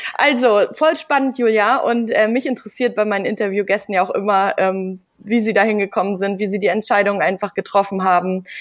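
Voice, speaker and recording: With an unremarkable speaking voice, a woman talks at a fairly quick pace, medium pitch and ordinary pitch variation. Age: 30s. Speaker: podcast host. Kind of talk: interview.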